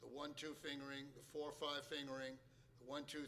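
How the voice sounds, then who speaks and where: A man with a bright, sharp tone speaks at a fairly slow pace with monotone, flat intonation amid audible room echo. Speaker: jazz pianist and piano teacher. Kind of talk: lecture. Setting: stage with audience.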